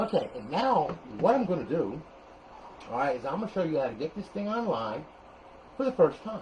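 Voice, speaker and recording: Loud and at a fairly quick pace, a voice with an American accent makes very wide pitch swings, with long, frequent pauses and audible room echo. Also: man, high pitch for a man. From New Jersey (Paterson). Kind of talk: tutorial. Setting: garage. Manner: animated.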